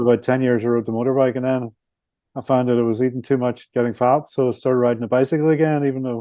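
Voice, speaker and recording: Very fast and monotone, a man talks with a Belfast accent in flat intonation. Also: medium pitch for a man. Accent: Belfast Northern Irish. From Northern Ireland, Belfast. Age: 60s. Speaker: author and motorcycle traveller. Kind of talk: podcast interview.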